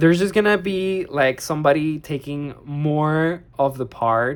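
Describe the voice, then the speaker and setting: The speaker has a non-native accent. The recording is very clean, with a silent background. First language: not English. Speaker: tarot reader. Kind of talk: tarot reading monologue. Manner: halting, searching for words; casual, filler-heavy.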